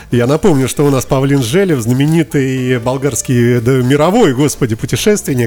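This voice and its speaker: A man speaks at a medium pitch with very even loudness and hardly any pauses. Noticeable background noise runs underneath. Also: ordinary pitch variation, moderate pace. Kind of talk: radio interview. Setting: studio.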